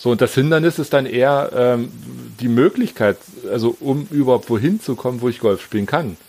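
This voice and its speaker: With a plain, everyday voice, a man talks at medium pitch and a moderate pace, his intonation lively. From Berlin, Germany. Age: 40s. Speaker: amateur golfer. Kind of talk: casual chat.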